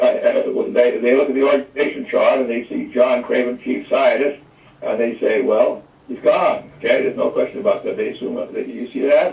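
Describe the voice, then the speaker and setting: Noticeable background noise fills the recording. Through it, a man talks at a moderate pace. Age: 80s+. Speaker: scientist. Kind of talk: interview. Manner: halting, many repeated words.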